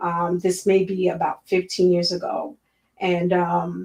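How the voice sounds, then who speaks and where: A woman speaks with an American accent. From Miami, Florida. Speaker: school board candidate, educator. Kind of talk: interview.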